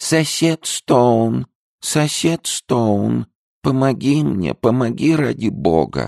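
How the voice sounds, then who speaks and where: In a put-on character voice, a man speaks very slowly and quietly at a medium pitch, sounding squeaky. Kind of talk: human-like speech. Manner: quiet, pleading.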